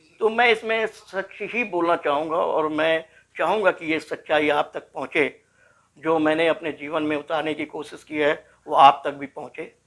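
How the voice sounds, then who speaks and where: Fairly high male voice, pitch varying in an ordinary way. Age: 60s. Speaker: former political detainee, social activist. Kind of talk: interview. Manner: emphatic, repetitive oratory.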